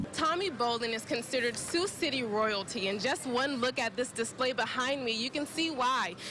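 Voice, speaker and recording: Over noticeable background noise, a woman with an American accent speaks at a high pitch with lively intonation. Her pace is moderate, her loudness very even, with hardly any pauses. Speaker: television news reporter. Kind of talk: TV news reporter delivery.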